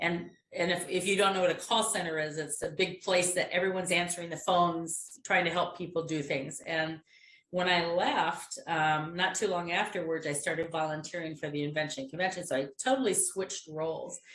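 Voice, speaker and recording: A woman's fairly low-pitched voice, an unremarkable speaking voice, with fairly even intonation. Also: fairly quick pace. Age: 60s. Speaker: innovation program volunteer. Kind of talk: casual chat.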